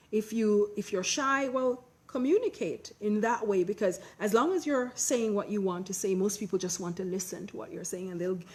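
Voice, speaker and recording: At a moderate pace, a woman talks in a somewhat breathy, medium-pitched voice with ordinary pitch variation. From Jamaica. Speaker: personal branding expert. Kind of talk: conference talk with audience Q&A.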